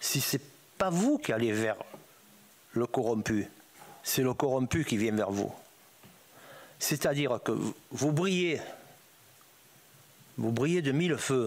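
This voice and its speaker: Very slow delivery with lively intonation and long, frequent pauses. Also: man, medium pitch for a man. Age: 80s+. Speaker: former drug trafficker testifying. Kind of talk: testimony before parliamentary inquiry. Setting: parliamentary hearing room. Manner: informal street speech, repetitive.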